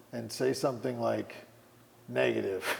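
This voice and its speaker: A man talks at a moderate pace while clearly audible background noise persists. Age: 40s. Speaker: fitness trainer and Muay Thai fighter. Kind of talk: casual chat.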